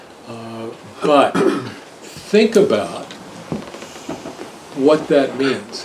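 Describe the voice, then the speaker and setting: Noticeable background noise accompanies a man speaking with a fairly high pitch. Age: 70s. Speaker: attorney presenting year review. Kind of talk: talk with audience Q&A. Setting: party with live audience.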